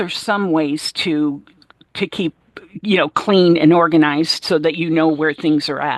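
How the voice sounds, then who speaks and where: In a plain, everyday voice, a woman with a fairly low pitch speaks at a fairly slow pace with ordinary pitch variation, the sound dry and close with no echo. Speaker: chef. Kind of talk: interview answer.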